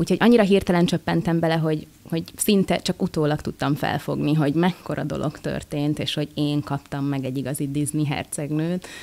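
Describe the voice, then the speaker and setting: A woman talks with a very deep, low pitch. Her pitch varies in an ordinary way. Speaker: voice actress. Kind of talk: interview. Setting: convention. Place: hall. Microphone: studio mic.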